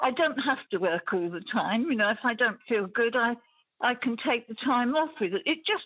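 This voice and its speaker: A woman speaks with a high pitch and lively intonation. Her pace is moderate. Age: 80s+. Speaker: caller, antique shop owner. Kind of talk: phone-in chat. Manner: enthusiastic.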